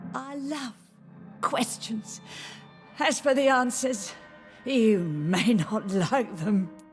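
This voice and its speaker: A put-on character voice, female-sounding and fairly high, at a very slow pace with long, frequent pauses and clear music in the background. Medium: video game. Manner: teasing, eerie.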